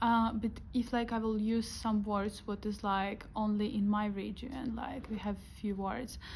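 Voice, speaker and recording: Speaking at a moderate pace with a Ukrainian accent, a woman delivers her words in a somewhat breathy, medium-pitched voice with monotone, flat intonation. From western Ukraine. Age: 20s. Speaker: student. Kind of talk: interview answer.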